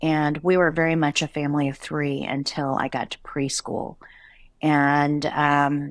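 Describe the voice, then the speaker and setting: This woman's voice is very deep and low in pitch, and her intonation is flat and monotone. The recording is very clean, with a silent background. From USA, immigrated from Korea as a toddler. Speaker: retail company CEO. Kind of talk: interview conversation.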